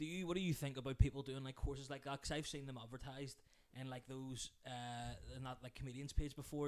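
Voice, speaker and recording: A man with a Northern Irish accent at a fairly high pitch, very fast pace and fairly even intonation. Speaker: podcast host and comedian. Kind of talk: casual chat. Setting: kitchen. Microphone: cheap microphone.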